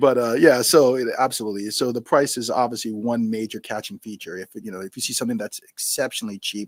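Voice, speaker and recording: A man with a New York accent at a medium pitch, very fast with hardly any pauses, big swings in loudness, and a dry, close sound with no echo. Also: ordinary pitch variation. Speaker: spirits entrepreneur and retired Marine. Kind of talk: interview.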